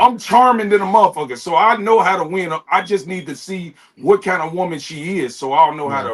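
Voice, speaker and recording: A high-pitched man talks at a fairly quick pace with hardly any pauses, ordinary pitch variation and big swings in loudness, over noticeable background noise. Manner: smooth, charming, confident.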